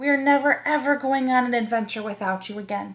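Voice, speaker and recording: A woman puts on a character voice with a high pitch. She talks at a fairly quick pace. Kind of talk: bedtime story. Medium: read story.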